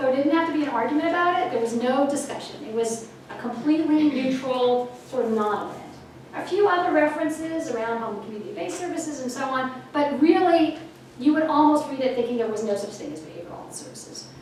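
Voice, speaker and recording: Over noticeable background noise and audible room echo, a woman talks very fast in a high voice, her intonation lively and her loudness swinging widely. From Canada. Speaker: health policy professor and dean. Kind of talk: lecture.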